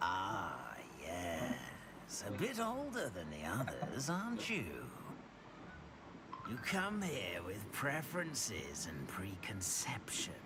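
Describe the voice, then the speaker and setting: Over loud background noise, a put-on character voice moves at a very slow pace. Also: man, medium pitch for a man. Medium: game stream. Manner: musing, deliberate.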